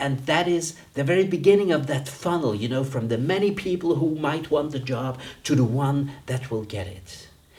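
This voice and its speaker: A medium-pitched man with a non-native accent, somewhat breathy, at a moderate pace with very wide pitch swings and audible room echo. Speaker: dean and business coach. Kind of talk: lecture. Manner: conversational.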